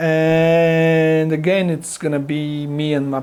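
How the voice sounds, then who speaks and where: This man speaks with a Polish accent. Background noise is noticeable. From Poland. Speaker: guitar gear reviewer. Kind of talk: product review talk to camera. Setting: home studio. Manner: halting, with many fillers and restarts.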